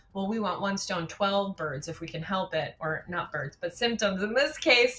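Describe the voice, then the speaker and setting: There is noticeable background noise as a woman speaks at a moderate pace and medium pitch, her intonation lively. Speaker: doctor of natural medicine. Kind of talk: webinar Q&A.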